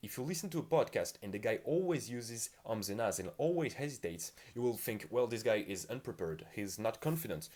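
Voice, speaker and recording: Hardly pausing, a man at a medium pitch talks at a fairly quick pace with very wide pitch swings. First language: not English. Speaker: communication skills youtuber. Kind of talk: tutorial.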